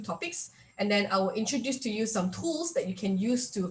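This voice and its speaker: A somewhat breathy woman's voice at medium pitch. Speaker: workshop speaker. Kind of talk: online workshop presentation. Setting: video call. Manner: fast; hesitant, many fillers.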